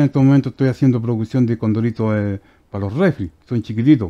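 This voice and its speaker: This man speaks at a fairly quick pace with ordinary pitch variation. The background is quiet. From Chile, Aconcagua Valley (Curimón); Chile. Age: 50s. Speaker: woodworking craftsman; guest. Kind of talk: casual interview; interview answer. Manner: halting. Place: studio. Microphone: headset.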